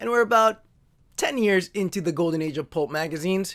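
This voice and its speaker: An upbeat tone at a fairly quick pace, on a very clean recording with a silent background. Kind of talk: casual talk to camera. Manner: jokey, upbeat.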